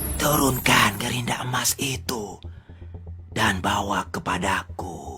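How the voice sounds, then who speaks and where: Delivered in a put-on character voice, the low-pitched speech moves at a fairly slow pace over clear background noise. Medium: fan dub. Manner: hissing, drawn-out 'shh' sounds.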